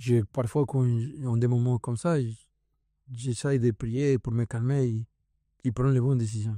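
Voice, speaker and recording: With a Latin American Spanish accent, a man talks at a fairly slow pace in a dark, mellow tone and medium pitch, leaving long, frequent pauses in a dry, close sound with no echo. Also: fairly even intonation. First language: Spanish (speaking French). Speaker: CrossFit athlete and coach. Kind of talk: casual podcast interview. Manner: halting, searching for French words.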